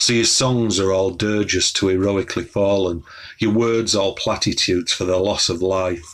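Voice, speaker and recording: In a very clean recording with a silent background, a man with a Yorkshire accent speaks at a moderate pace in a very deep, low pitch with monotone, flat intonation. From northern England, Wakefield, West Yorkshire. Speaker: poet. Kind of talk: poetry reading.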